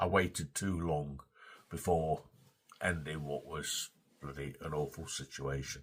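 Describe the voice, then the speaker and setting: With an English accent, a man speaks at a very deep, low pitch and a fairly slow pace, using vocal fry, fairly even intonation and long, frequent pauses. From England. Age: 60s. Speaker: vlogger. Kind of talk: casual vlog monologue. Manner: halting, repetitive.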